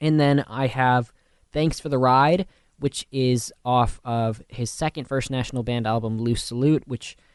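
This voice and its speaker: A man with an unremarkable speaking voice talks at a fairly slow pace and medium pitch, in a dry, close sound with no echo. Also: fairly even intonation. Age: 20s. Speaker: college radio DJ. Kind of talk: radio music show talk. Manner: casual, filler-heavy.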